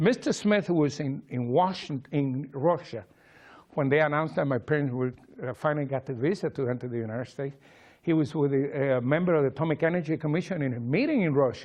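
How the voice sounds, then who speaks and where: The speaker has a Cuban accent and lively intonation. The pace is fairly quick. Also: man. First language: Spanish. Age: 60s. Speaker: memoir author. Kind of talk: public talk. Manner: halting.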